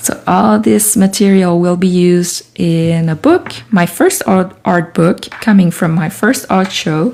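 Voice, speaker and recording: Over noticeable background noise, the speaker uses a French Canadian accent with lively intonation, moving at a fairly slow pace with hardly any pauses. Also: woman, fairly low pitch for a woman. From Canada. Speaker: artist and writer. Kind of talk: live stream chat while working. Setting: home studio live stream. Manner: soothing.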